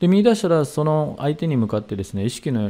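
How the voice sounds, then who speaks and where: The voice belongs to a man. Its pitch rises and falls very widely. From Saitama, Japan. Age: 60s. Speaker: seminar leader, hypnotherapy and meditation teacher; presenter. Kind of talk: lecture. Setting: online video seminar. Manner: formal, polite, with many fillers.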